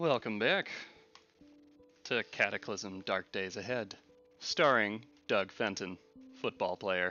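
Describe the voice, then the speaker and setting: A man at a fairly low pitch and very slow pace, with long, frequent pauses and music in the background. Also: ordinary pitch variation. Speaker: gaming commentator. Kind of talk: let's play commentary. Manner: stutters, mixes up words.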